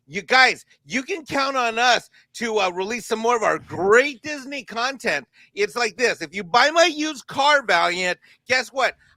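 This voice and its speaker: A raised, projected voice carries lively intonation. The sound is dry and close, with no echo. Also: man. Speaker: panelist with accounting background. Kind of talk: panel discussion. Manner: fast.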